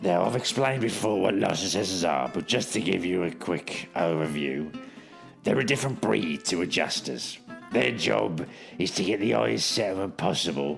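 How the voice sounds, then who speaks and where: Putting on a raspy character voice, a man speaks at a moderate pace with a very deep, low pitch while clear music plays in the background. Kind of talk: mock-heroic deadpan narration. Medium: solo performance. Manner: deadpan, boastful.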